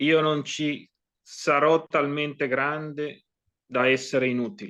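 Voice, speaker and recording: Speaking with an Italian accent, this man has a fairly high pitch and a bright, sharp tone. His pace is very slow. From Italy. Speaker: poet. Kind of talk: poetry reading.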